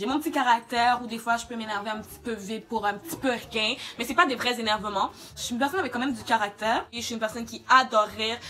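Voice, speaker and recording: A woman with a Quebec accent speaks very fast, her loudness swinging widely. Noticeable noise sits in the background. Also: fairly high pitch for a woman, ordinary pitch variation. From Quebec, Montreal. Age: 20s. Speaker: beauty YouTuber. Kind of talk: casual vlog Q&A. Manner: animated.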